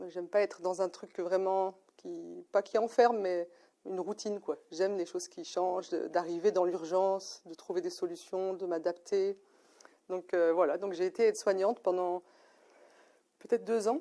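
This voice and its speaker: Her tone is dark and mellow, and this woman holds a medium pitch with fairly even intonation. She talks at a moderate pace with big swings in loudness. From France, Lyon area. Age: 40s. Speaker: mature psychology student, former care assistant. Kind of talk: interview. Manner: hesitant, many fillers.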